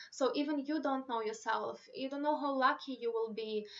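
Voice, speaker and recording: A woman with a Romanian accent talks at a fairly quick pace in a high pitch. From Moldova. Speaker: YouTuber giving advice on moving abroad. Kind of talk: live stream Q&A. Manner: casual, filler-heavy.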